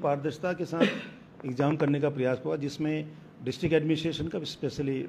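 Light background noise sits beneath a man whose delivery moves at a moderate speed. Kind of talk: interview answer. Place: office. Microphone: handheld.

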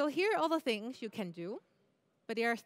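Fairly quick, lively speech with a Chinese accent. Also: woman. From Taiwan, then Canada from age 12. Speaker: UX product designer; conference speaker. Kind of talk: conference talk. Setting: stage with audience. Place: stage.

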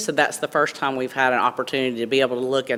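A woman talks loudly at a very fast pace. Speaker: school district staff presenter. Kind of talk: board meeting presentation.

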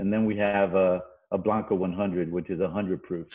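A monotone, flat delivery at a moderate pace in an American accent, against a quiet background. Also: man. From Tampa, Florida; Florida. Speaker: tequila brand partner; guest. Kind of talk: casual chat. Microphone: video call.

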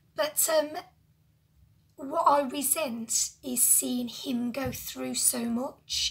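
The pitch sits high. The speaker is a woman. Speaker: lifestyle vlogger. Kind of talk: casual talk to camera. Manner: emotional, personal. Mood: emotional, reflective. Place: home room. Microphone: phone near.

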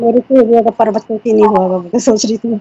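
A woman's fairly high voice with a dark, mellow tone and fairly even intonation

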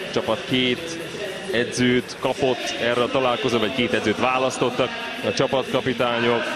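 Speaking at a moderate pace with long, frequent pauses, the voice sounds dry with no echo against loud background noise. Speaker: sports commentator. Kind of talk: live commentary. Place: stadium.

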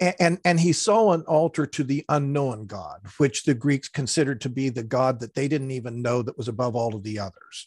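A man talks at a fairly quick pace with lively intonation. The sound is dry with no echo, and the background is quiet. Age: 60s. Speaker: retired pastor; pastor, podcast guest. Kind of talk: interview, explaining Bible passages; interview answer. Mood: calm, explanatory. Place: home room. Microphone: headset.

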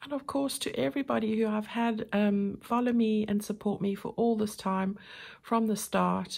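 The woman speaks at a medium pitch. Her voice is somewhat breathy. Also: quiet background. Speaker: crafting YouTuber. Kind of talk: tutorial. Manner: soft-spoken; hesitant with many fillers. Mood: warm, grateful.

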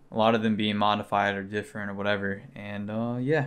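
A man's fairly low voice, monotone and flat. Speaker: car vlogger. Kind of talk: casual vlog chat. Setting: beside his car, recording on an action camera. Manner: talks fast at times, mumbles. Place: home room.

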